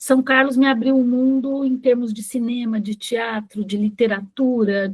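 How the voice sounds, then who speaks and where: This woman has a high pitch and talks at a fairly slow pace with fairly even intonation. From Brazil, interior of São Paulo state (Ribeirão Preto). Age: 60s. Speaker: retired bank employee, workshop participant. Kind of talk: reading aloud a personal life-story text.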